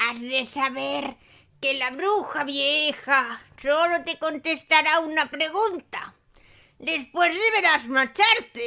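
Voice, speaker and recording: A female-sounding, soft-spoken put-on character voice speaks at a high pitch and a very slow pace. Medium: read story.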